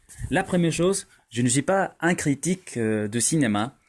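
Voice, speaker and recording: In a Spanish accent, a man talks at a moderate pace with lively intonation. The recording is very clean with a silent background. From Mexico. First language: Spanish (speaking French). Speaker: polyglot youtuber, language learner. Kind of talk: film review monologue, language practice. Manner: halting, hesitant with fillers.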